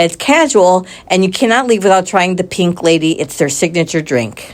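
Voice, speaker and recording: A normal speaking voice with lively intonation. The pace is moderate and the loudness very even. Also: woman, medium pitch for a woman. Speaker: travel vlogger. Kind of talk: travel vlog narration. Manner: casual.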